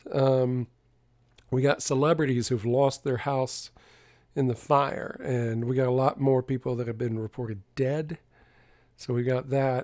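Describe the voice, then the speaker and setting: With a Southern accent, a man talks at a fairly slow pace in a medium pitch. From US South. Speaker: tarot reader streamer. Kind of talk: live stream chat. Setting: live stream.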